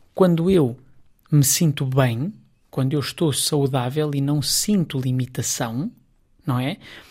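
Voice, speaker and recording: With a European Portuguese accent, the speaker goes at a very slow pace, leaving long, frequent pauses. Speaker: psychologist. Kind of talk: radio interview.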